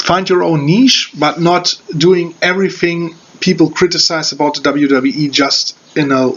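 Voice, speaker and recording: A man with a German accent and a high pitch, talking at a fairly slow pace with hardly any pauses, over noticeable background noise. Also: ordinary pitch variation. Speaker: wrestling reviewer. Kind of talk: video review. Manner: halting, many fillers.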